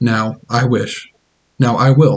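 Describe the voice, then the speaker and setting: Put-on character voice from a man at medium pitch. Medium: read story.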